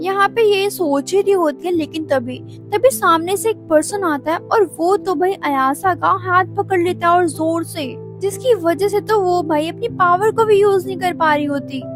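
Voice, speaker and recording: With music in the background, a woman speaks in an enthusiastic tone with hardly any pauses. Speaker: anime explainer voice-over. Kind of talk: anime recap narration in Hindi. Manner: casual, chatty, enthusiastic.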